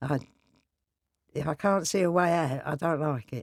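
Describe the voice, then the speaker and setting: Speaking with a Cockney accent, a woman uses a very deep, low pitch with ordinary variation at a moderate pace, captured in a very clean recording with a silent background and a dry, close sound with no echo. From East London. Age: 80s+. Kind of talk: interview answer. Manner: blunt, lively.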